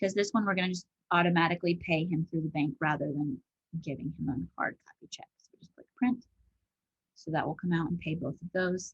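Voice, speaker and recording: Recorded dry and close with no echo, a woman with a fairly low pitch and a somewhat breathy voice speaks fairly quickly, her loudness swinging widely and her pitch varying in an ordinary way. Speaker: office manager training a colleague on bookkeeping. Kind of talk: screen-share tutorial. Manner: fast.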